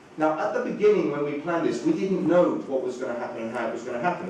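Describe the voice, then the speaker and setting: Delivered at a very fast pace, the speech carries audible room echo and noticeable background noise. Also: man. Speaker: communications director. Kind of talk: conference talk. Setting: stage with audience. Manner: hesitant, many fillers.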